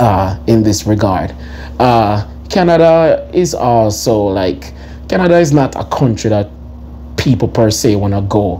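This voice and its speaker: In a Jamaican accent, a man speaks fairly slowly in an animated tone, his fairly low voice swinging very widely in pitch. Noticeable background noise runs underneath. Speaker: commentary vlogger. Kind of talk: opinion commentary.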